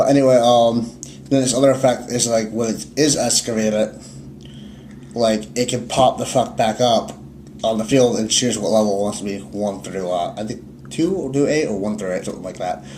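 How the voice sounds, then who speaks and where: The voice moves at a fairly quick pace with lively intonation, with noticeable background noise and audible room echo. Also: man, medium pitch for a man. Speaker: card game YouTuber. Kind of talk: casual chat. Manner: fast.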